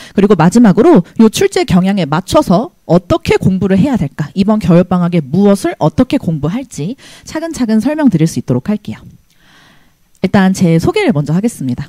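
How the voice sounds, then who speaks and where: A somewhat breathy woman's voice, dark and mellow, with very wide pitch swings, a fairly quick pace, and a dry, close sound free of echo. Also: medium pitch for a woman. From South Korea, Gyeonggi (Hwaseong). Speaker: math teacher. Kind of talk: presentation to parents and students. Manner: trembling voice.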